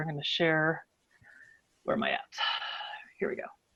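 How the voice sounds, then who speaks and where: A woman with an American accent. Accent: Pittsburgh accent, mostly held back. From western Pennsylvania, near Pittsburgh. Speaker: advocacy director and scientist giving a talk. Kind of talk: online presentation. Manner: casual, with frequent fillers.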